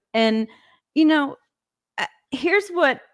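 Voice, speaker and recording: A woman speaks with lively intonation in a very clean recording with a silent background. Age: 60s. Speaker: podcast guest. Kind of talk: casual chat.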